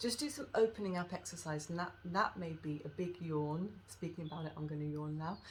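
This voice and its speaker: A husky, somewhat breathy woman's voice at a fairly low pitch. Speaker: wellness teacher. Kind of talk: tutorial. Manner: hesitant, many fillers.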